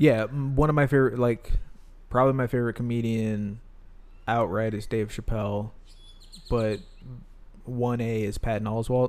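A man talks at a moderate pace with long, frequent pauses. His medium pitch carries fairly even intonation. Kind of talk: casual banter. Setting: in person.

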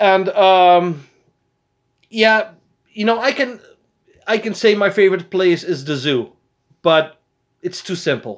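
Talking with a Dutch accent, a man uses a high pitch and lively intonation at a fairly slow pace, with long, frequent pauses. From Netherlands, Arnhem area. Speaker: podcast host. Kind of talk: casual chat.

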